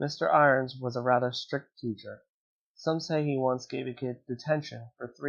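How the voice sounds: A natural reading voice is heard with fairly even intonation over a quiet background.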